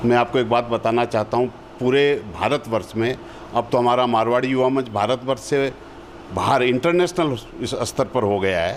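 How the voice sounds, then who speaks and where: Over noticeable background noise, a man speaks with very even loudness and ordinary pitch variation. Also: medium pitch for a man. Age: 60s. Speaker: community organisation veteran. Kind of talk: TV interview.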